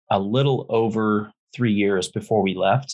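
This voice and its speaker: Speaking with a Southern US accent, a man keeps a medium pitch, ordinary pitch variation and a moderate pace. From US South, Louisiana. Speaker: pastor. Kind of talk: casual chat. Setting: video call. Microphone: poor audio over video call.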